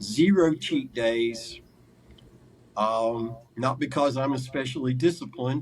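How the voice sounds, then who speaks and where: A somewhat breathy man talks at a fairly slow pace with ordinary pitch variation. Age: 60s. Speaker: carnivore diet coach and former mental illness sufferer. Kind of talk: interview testimony. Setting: sit-down interview.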